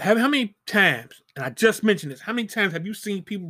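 A man's high, bright and sharp voice, raised and projected, very fast with lively intonation, in a very clean recording with a silent background. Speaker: podcast host. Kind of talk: angry rant. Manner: indignant, emphatic, scornful.

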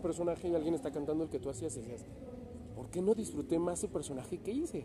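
A man's fairly high voice, very fast, with lively intonation. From Mexico, Toluca. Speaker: opera singer. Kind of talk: interview. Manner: laughs often.

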